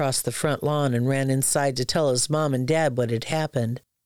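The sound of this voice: Unforced voice, reading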